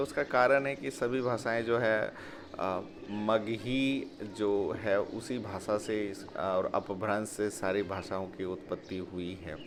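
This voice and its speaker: A man's voice with lively intonation. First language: Angika (speaking Hindi). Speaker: vlogger and teacher. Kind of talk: vlog explanation. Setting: outdoors. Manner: hesitant with fillers.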